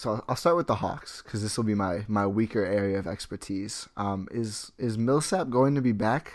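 At a moderate pace and with hardly any pauses, an ordinary speaking voice shows ordinary pitch variation in a very clean recording with a silent background. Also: man, fairly low pitch for a man. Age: 20s. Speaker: basketball blogger and podcaster. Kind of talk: casual chat.

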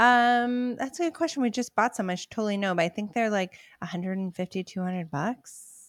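A normal speaking voice at a fairly quick pace with hardly any pauses and lively intonation, the sound dry and close with no echo on a very clean recording with a silent background. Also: woman, fairly high pitch for a woman. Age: 40s. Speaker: wedding photographer. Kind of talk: casual chat.

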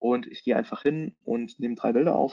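The voice belongs to a man. His tone is dark and mellow. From Germany, Hesse (Taunus). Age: 30s. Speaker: content marketing consultant and photographer. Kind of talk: webinar presentation. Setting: online webinar.

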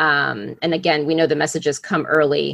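A woman speaks at a moderate pace in a very deep, low voice with vocal fry and fairly even intonation. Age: 40s. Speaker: podcast host. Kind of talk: interview.

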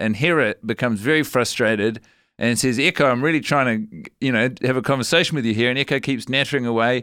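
Very fast and bright, sharp in tone, the speech has a New Zealand accent and ordinary pitch variation in a very clean recording with a silent background. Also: man. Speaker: comedian. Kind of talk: casual comedic chat.

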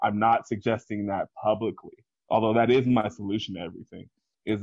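A man speaks at a medium pitch in an unremarkable speaking voice. His intonation is fairly even. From Washington DC / Maryland area, US. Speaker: independent wrestling promoter. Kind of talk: casual chat.

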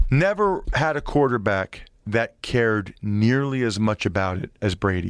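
An unremarkable speaking voice with lively intonation and hardly any pauses, at a fairly slow pace. The background is quiet. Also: man, medium pitch for a man. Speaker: former NFL offensive lineman and podcaster. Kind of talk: casual interview chat.

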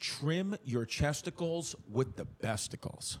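In a New York accent, a man speaks at a fairly slow pace. His pitch sits fairly high. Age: 30s. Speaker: comedian and podcast host. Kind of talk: casual chat.

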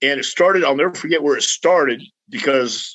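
Using an ordinary speaking voice, a man with a fairly high pitch talks at a moderate pace. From Texas (El Paso). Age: 60s. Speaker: retired pro wrestler and wrestling trainer. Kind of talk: casual interview chat.

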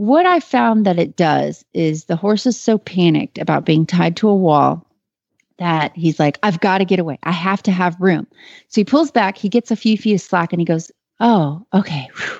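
Against a quiet background, a woman with an American accent speaks at a fairly low pitch and moderate pace with ordinary pitch variation, dry and close with no echo, a plain, everyday voice. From Texas. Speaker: horse trainer. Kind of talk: call-in advice show.

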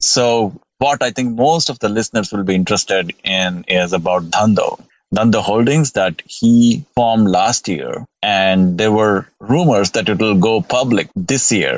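Ordinary pitch variation in a normal speaking voice, fairly slow in pace. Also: man, fairly low pitch for a man. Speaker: investor and blogger. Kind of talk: casual chat. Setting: outdoors.

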